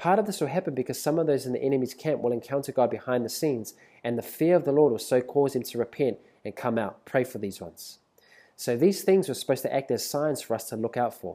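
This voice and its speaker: Speaking very fast, a man with a New Zealand accent has lively intonation. His pitch sits at a medium level. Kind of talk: prophetic exhortation monologue.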